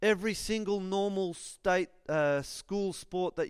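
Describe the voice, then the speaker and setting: In a very clean recording with a silent background, a man with a high pitch speaks fairly slowly in an Australian accent. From Australia, northern New South Wales. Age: 40s. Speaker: school chaplain and guest preacher. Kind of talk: sermon. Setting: church with congregation.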